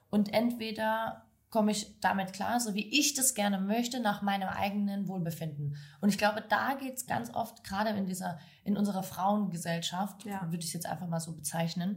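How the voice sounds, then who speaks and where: Over noticeable background noise, a woman talks at a fairly quick pace and a medium pitch with lively intonation. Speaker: podcast host. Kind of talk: casual interview chat. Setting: café back room.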